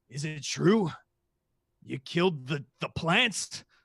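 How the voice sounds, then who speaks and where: Using a put-on character voice, a man speaks very slowly in a raspy tone at a fairly high pitch. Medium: actual play. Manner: hearty, showy.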